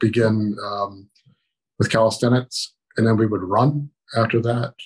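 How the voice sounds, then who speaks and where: With an American accent, the speaker sounds somewhat breathy, moving at a fairly slow pace with fairly even intonation against a quiet background. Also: man. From Maryland, Baltimore. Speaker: army veteran. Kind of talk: oral history interview. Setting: video call. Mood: reminiscing, calm. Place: home room. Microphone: video call.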